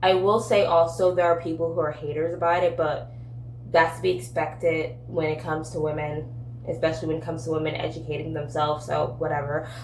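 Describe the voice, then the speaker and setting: A woman talks at a very fast pace with ordinary pitch variation. Room echo is audible. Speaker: book and lifestyle content creator. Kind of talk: casual vlog. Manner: casual with filler words.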